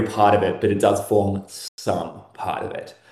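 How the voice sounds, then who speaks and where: A man talks fairly slowly with audible room echo. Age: 30s. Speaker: self-identified real-life vampire. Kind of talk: casual interview chat.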